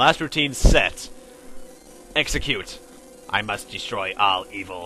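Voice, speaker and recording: A put-on character voice moves at a fairly slow pace with clear background noise. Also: man, fairly low pitch for a man. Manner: menacing.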